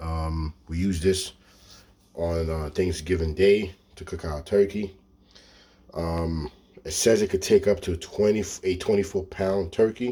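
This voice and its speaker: A man with a very deep, low pitch and a dark, mellow, somewhat breathy tone speaks at a fairly slow pace with fairly even intonation, big swings in loudness, and long, frequent pauses. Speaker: product reviewer, video creator. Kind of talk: product review, casual vlog. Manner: halting, many fillers (um, okay).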